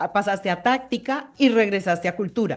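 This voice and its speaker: A slight Mexican accent at a moderate pace, with ordinary pitch variation. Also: woman. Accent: slight Mexican accent showing. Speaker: sales podcast host. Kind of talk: interview.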